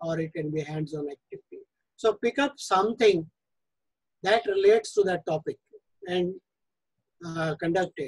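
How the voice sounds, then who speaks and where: Moderate pace against a quiet background. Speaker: presenter. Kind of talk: lecture. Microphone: video call.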